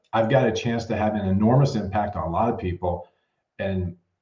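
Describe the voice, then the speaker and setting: The voice is somewhat breathy. It moves along at a fairly quick pace. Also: man. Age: 60s. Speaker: mortgage sales executive. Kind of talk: podcast interview.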